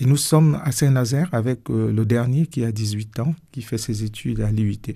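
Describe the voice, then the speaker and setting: A man talks at a moderate pace in a medium pitch with ordinary variation. His tone is dark and mellow, and somewhat breathy. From Cameroon. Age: 60s. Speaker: pastor. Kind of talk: radio interview. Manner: hesitant, many fillers.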